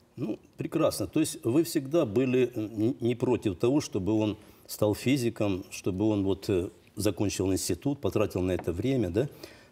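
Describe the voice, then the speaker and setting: A man speaks at a medium pitch and a moderate pace with lively intonation. His tone is dark and mellow, on a very clean recording with a silent background. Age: 60s. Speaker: homeschooling father of many children. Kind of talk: heated debate. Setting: TV studio.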